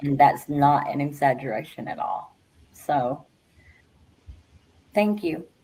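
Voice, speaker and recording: A woman's very deep, low, dark and mellow voice at a very slow pace, with big swings in loudness and long, frequent pauses. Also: ordinary pitch variation. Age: 60s. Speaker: friend and livestream guest. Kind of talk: casual group chat livestream. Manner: halting, many fillers.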